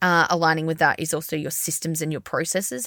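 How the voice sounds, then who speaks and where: Recorded with a dry, close sound and no echo, a woman speaks in a fairly low voice with an Australian accent. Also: very clean recording, silent background. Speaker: podcast host, brand agency founder. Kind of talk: solo podcast monologue. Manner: fast.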